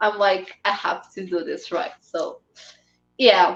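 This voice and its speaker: A woman with a Portuguese accent talks at a moderate pace. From Portugal. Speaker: fan site runner and interviewer. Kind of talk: interview conversation. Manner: halting.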